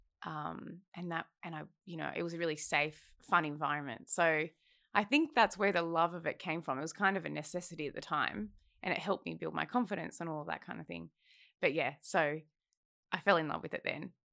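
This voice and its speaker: A woman with an Australian accent talks at a fairly quick pace, her fairly low voice bright and sharp in tone, with vocal fry and ordinary pitch variation. Her loudness swings widely, and the recording is very clean with a silent background. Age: 20s. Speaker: film development executive. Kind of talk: casual chat.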